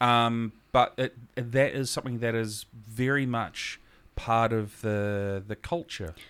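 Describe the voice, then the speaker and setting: A medium-pitched man with a New Zealand accent, at a very slow pace, with fairly even intonation. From New Zealand, Gisborne. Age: 40s. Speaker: podcast host. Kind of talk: casual interview.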